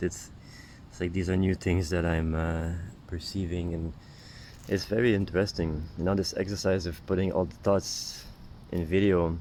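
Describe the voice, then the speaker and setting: A soft-spoken man with a very deep, low voice talks at a moderate pace in a monotone, flat delivery. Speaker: spiritual healer and vlogger. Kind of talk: stream-of-consciousness monologue. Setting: outdoors, sitting in the grass. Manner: soft-spoken, lowered voice; halting, many fillers.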